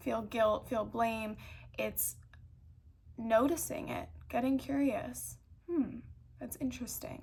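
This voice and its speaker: Very slow speech from a woman, broken by long pauses that come often. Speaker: spiritual self-help speaker. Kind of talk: reflective monologue. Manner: slowed-down, deliberate.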